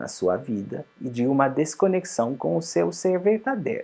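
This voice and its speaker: A man's medium-pitched voice with a strong non-native accent, at a fairly slow pace, over music in the background. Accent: strong foreign accent in Portuguese. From Switzerland. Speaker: psychologist and life coach. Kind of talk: promotional self-help talk.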